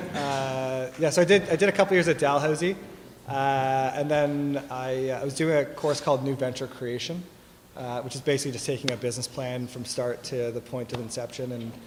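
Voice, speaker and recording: In a Canadian accent, a man speaks fairly quickly at a medium pitch with ordinary variation. He has an ordinary speaking voice. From Toronto, Canada. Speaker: tech company executive. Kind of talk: fireside chat interview. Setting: stage with audience.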